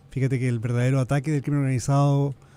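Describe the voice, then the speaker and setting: Speaking very fast, a man holds a medium pitch in a monotone, flat delivery. His tone is dark and mellow. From Chile. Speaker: organized crime expert. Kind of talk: radio interview.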